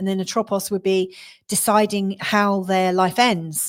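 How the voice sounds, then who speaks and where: With a southeast English accent, a woman of medium pitch speaks in a monotone, flat way in a very clean recording with a silent background. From southeast England. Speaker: astrologer. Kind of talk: astrology forecast talk. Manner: casual, with many fillers and restarts.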